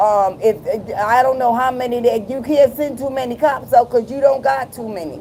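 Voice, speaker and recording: An animated woman with a high voice and an American accent, moderate pace, ordinary pitch variation, big swings in loudness, and noticeable background noise. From Providence, Rhode Island, US. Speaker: live streamer. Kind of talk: casual chat.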